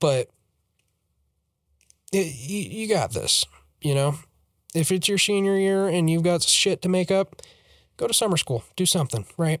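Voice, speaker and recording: In an American accent, the speaker keeps a moderate pace with long, frequent pauses and ordinary pitch variation, recorded very cleanly with a silent background and a dry, close sound with no echo. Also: man, high pitch for a man. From Colorado. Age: 18. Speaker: YouTuber. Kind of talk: personal vlog monologue. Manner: halting, repetitive fillers.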